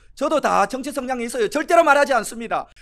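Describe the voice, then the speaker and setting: An animated tone with ordinary pitch variation. The pace is very fast. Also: man. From Korea, Cheongsong (North Gyeongsang). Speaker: pastor. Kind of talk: sermon.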